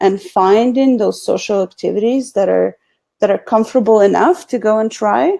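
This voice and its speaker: Speaking at a moderate pace, a woman talks with a Russian accent. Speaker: marketing consultant. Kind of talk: video call interview.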